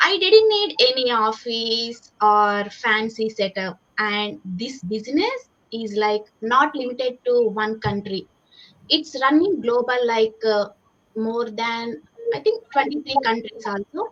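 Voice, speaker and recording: A woman with a Telugu accent speaks very slowly, her fairly high voice showing ordinary pitch variation. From India. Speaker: civil engineer and online business owner. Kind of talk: panel discussion, personal story.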